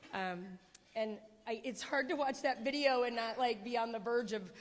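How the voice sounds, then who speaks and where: Audible room echo around a woman speaking at a fairly high pitch. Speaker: award honoree. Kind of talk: acceptance speech. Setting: stage with audience at a gala. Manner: loud. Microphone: too close to the mic.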